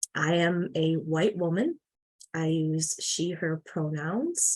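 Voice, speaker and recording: With a Midwestern US accent, a woman speaks at a fairly low pitch. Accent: US Midwest. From Michigan. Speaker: farmworker health advocate. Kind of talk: presentation.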